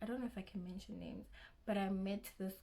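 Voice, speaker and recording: A woman with a South African accent talks at a medium pitch in a somewhat breathy voice. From South Africa, Limpopo (Giyani). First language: Xitsonga. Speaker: YouTuber, university student. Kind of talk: casual vlog Q&A. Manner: halting, self-correcting.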